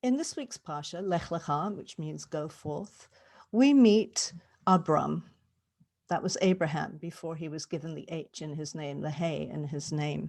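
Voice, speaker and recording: In a very clean recording with a silent background, a woman with a very deep, low pitch and vocal fry speaks at a fairly slow pace, with ordinary pitch variation and big swings in loudness. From England. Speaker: cantor. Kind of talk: sermon. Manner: conversational.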